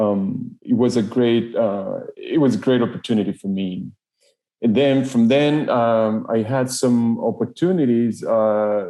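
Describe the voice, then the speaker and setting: A man in a Spanish accent, medium in pitch and dark, mellow in tone, at a fairly slow pace with ordinary pitch variation. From Ecuador. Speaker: engineering manager. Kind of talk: podcast interview. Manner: halting, many fillers and repetitions.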